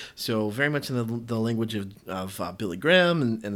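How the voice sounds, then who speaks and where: A man with an American accent speaks at a medium pitch with ordinary pitch variation. The recording is very clean, with a silent background. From US South. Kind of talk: solo podcast monologue; devotional exhortation. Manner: halting, many fillers.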